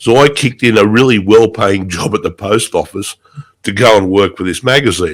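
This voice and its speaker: The man's pitch sits fairly low. He keeps to a moderate pace. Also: ordinary pitch variation. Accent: Australian. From Australia. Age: 60s. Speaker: writer and motorcyclist. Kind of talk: interview. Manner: halting, repeats words.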